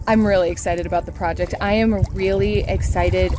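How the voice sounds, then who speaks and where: Here a woman talks at a moderate pace with an American accent. Noticeable background noise runs under her voice. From US Midwest, Whiting, Indiana. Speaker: vlogger and life coach. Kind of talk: casual vlog talk to camera. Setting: outdoors by a lake. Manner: animated.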